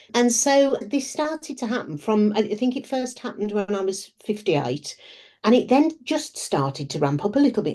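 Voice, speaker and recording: A woman's dark, mellow voice with fairly high pitch, very wide pitch swings, vocal fry and a moderate pace. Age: 60s. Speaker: business strategist. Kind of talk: interview.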